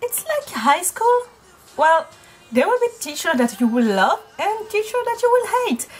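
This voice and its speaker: With a French accent, a woman speaks in very wide pitch swings. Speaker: university student. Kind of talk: casual talk to camera. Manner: chatty, rambling.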